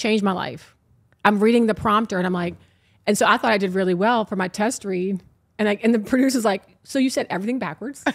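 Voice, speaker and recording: At a very fast pace, a woman speaks with a medium pitch. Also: very clean recording, silent background. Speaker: TV host and matchmaker. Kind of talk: casual chat.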